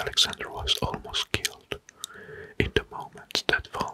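Someone whispers in a soft-spoken way over noticeable background noise. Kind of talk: informal history talk over a map. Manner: soft ASMR whisper, slow narration.

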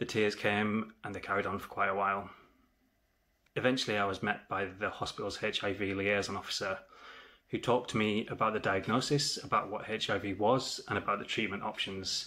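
A man talks at a moderate pace in a fairly low pitch. His tone is bright and sharp, his intonation monotone and flat. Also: quiet background. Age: 30s. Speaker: HIV awareness vlogger. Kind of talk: personal testimony. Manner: earnest, measured. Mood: serious, reflective. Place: home room. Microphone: phone near.

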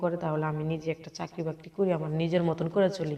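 A woman speaks at a fairly low pitch with a monotone, flat intonation. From Bangladesh, Cumilla (Laksam). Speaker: interviewee seeking marriage. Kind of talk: interview. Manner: halting.

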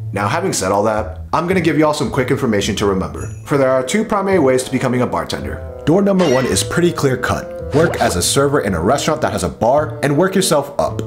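A man speaks at a very fast pace while clear music plays behind him. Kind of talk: rhyming spoken-word vlog narration. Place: home room.

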